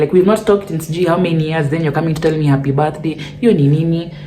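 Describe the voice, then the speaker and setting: With audible room echo and noticeable background noise, a woman talks at a very fast pace in a very deep, low voice, her tone animated and her pitch variation ordinary. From Kenya. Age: 20s. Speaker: YouTuber. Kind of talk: casual Q&A vlog.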